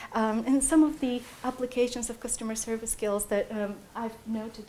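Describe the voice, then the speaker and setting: A woman with a Bulgarian accent, fairly high pitch and fairly even intonation, with noticeable background noise. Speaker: PhD student. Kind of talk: talk to prospective students. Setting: room with live audience. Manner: hesitant, many fillers.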